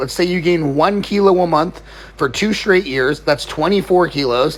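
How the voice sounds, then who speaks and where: A man talks at a fairly quick pace in a high pitch with ordinary pitch variation. Noticeable background noise runs underneath. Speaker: fitness coach. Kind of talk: Q&A video answering viewer questions. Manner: fast; casual.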